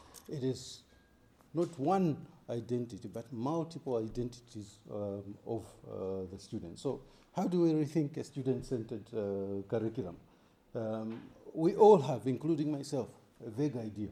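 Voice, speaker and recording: A man talks at a moderate pace with long, frequent pauses. His tone is dark and mellow, and the room echo is audible. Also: medium pitch for a man, lively intonation. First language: not English; English is his third language. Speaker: architecture academic. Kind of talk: conference talk. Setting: conference with audience. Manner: halting, many fillers.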